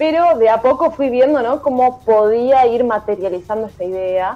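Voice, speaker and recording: Using a plain, everyday voice, a woman speaks at a fairly slow pace, fairly high in pitch, with lively intonation. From Argentina, Buenos Aires province. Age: 20s. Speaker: tech startup founder. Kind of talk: interview. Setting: video call.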